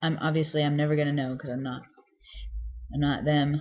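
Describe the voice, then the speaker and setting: The man's voice is somewhat breathy. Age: 30s. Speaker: vlogger. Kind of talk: casual video diary. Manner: hesitant, many fillers.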